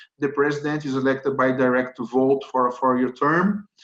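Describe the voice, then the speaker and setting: The speaker talks at a moderate pace with a Brazilian accent. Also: man. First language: Portuguese. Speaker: corporate lawyer. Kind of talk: webinar presentation. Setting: online webinar. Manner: hesitant, with frequent fillers.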